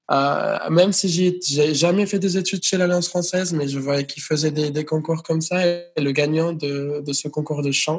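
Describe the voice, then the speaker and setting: Noticeable background noise sits under a man speaking at a moderate pace, his pitch fairly high and his intonation fairly even. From United States (born in Venezuela). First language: Spanish or English (speaking French). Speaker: singer. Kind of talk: interview. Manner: hesitant, repeats words.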